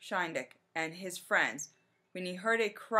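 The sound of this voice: With ordinary pitch variation, an unforced reading voice is heard.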